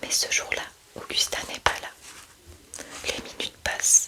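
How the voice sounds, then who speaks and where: A woman whispers at a fairly slow pace. Background noise is noticeable. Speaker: ASMR creator reading aloud from her own book. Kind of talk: whispered true-crime reading. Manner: whispered, soft, slow.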